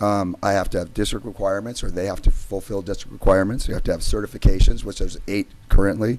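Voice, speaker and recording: Someone with an American accent talks at a very fast pace with fairly even intonation. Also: man. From California, Santa Barbara area. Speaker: high school basketball coach. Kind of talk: public comment at board meeting. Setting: public meeting.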